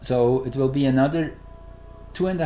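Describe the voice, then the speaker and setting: A man speaks with a Swiss German accent while music plays in the background. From Switzerland. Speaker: astrologer. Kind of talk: astrology presentation. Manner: halting, searching for words.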